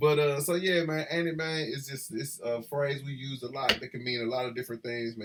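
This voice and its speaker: A man with a Memphis accent, fairly high in pitch, fairly quick and with hardly any pauses, his intonation fairly even amid noticeable background noise. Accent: Memphis, Southern. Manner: relaxed, casual.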